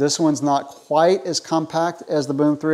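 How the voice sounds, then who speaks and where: Quiet background behind a man's voice. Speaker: product reviewer. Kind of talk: product review to camera. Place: garage. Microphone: lapel.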